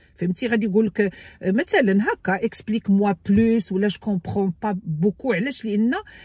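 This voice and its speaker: The voice has a dark, mellow tone and is somewhat breathy at a fairly quick pace. The sound is dry with no echo, over a quiet background. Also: woman. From Morocco. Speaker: YouTuber giving immigration advice. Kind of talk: tutorial. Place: car. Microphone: phone near.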